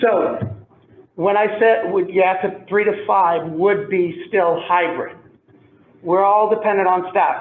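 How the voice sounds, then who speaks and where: Over audible room echo, a man with a high voice speaks slowly in a flat monotone, his loudness very even throughout. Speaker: school administrator. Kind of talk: public meeting discussion.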